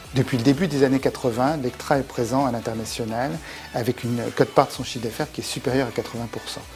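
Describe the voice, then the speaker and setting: Music plays behind a man talking at a very fast pace. His intonation is fairly even, while his loudness swings widely. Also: medium pitch for a man. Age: 60s. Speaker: company executive. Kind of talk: corporate interview.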